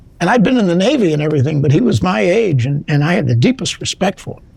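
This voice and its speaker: A very fast, high male voice with very wide pitch swings. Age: 80s+. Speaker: retired lawyer, law school alumnus. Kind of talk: interview. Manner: halting.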